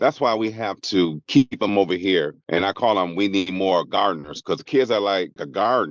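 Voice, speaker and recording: A man's ordinary speaking voice, fairly low in pitch, at a moderate pace. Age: 60s. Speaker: community organization founder. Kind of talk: podcast interview.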